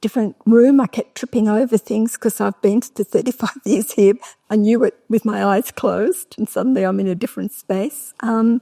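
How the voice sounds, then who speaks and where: Fairly high-pitched woman with an Australian accent, fairly even intonation, hardly any pauses, dry close sound with no echo. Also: moderate pace. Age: 70s. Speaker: painter and author. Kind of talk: festival talk interview.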